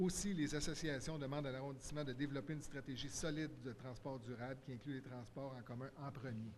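A man talks at a fairly quick pace with hardly any pauses. His intonation is fairly even, and there is light background noise. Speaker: shop owner and merchants' association president. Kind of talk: public consultation statement. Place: hall. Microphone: podium.

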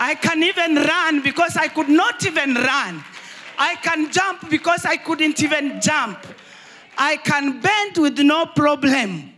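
Projecting a raised voice, a woman speaks at a fairly slow pace with ordinary pitch variation over light background noise. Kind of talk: testimony. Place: hall. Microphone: handheld.

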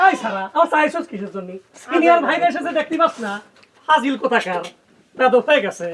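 A man's put-on character voice at an extremely high pitch, fast and fairly bright, with big pitch swings

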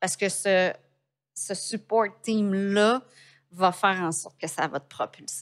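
Over a quiet background, a woman with a Quebec accent talks very slowly with long, frequent pauses, ordinary pitch variation and big swings in loudness. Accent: Québécois French. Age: 50s. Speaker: entrepreneur; podcast guest. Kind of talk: interview. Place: studio. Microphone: studio mic.

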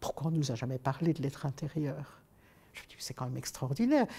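With a dark, mellow tone and lively intonation, a woman talks at a moderate pace against a quiet background. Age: 70s. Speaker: author and youth leader; interviewee. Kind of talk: interview. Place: studio.

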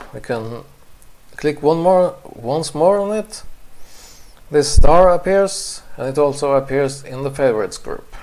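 Speaking at a fairly slow pace, a man with a non-native accent uses lively intonation. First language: not English. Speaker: photographer. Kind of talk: software tutorial narration.

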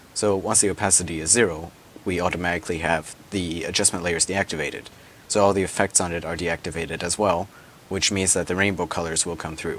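Over noticeable background noise, a man with a very deep, low pitch rushes along at a very fast pace in a monotone, flat intonation. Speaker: software tutorial creator. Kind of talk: screen-recorded software tutorial.

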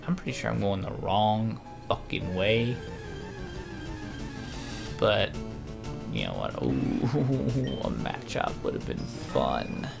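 A man speaks at a very slow pace. Music plays clearly in the background. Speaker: game playthrough commentator. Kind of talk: casual gameplay commentary. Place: home room.

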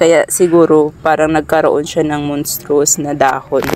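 At a moderate pace, a woman speaks in a low voice over faint background noise. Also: slightly mellow tone.

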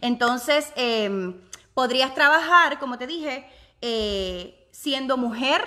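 In a raised, projected voice, a woman speaks with a high pitch, very wide pitch swings, an animated tone and a bright, sharp quality. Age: 30s. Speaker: online business vlogger. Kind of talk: live stream chat with viewers. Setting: home office, live video.

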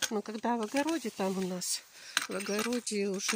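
Recorded dry with no echo and light background noise, a woman speaks with ordinary pitch variation. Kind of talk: casual vlog chat. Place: garden. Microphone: phone near.

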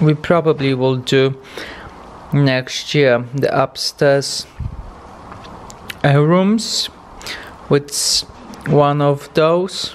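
Faint background noise sits behind a man with fairly high pitch and ordinary pitch variation.

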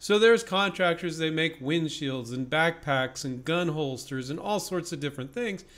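Lively in intonation, a man delivers his words at a moderate pace. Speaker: invention licensing coach. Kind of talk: tutorial. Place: office.

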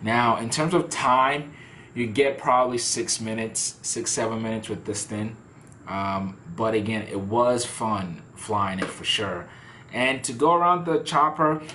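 A man speaks fairly slowly while light background noise lingers. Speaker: toy reviewer. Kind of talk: casual product review. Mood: relaxed, amused.

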